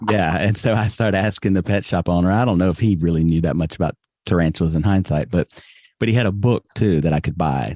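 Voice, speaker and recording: A man's very deep, low voice with a Southern US accent, dark and mellow in tone, at a very fast pace with very even loudness, ordinary pitch variation, and a dry, close sound with no echo. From US South, Alabama (Birmingham). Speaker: podcast guest. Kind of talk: casual interview chat.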